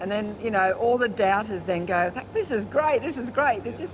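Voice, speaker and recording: A woman with an Australian accent, fairly high in pitch, at a fairly quick pace, with very wide pitch swings and noticeable background noise. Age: 60s. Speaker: motorcycle-touring barber. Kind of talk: interview. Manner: animated.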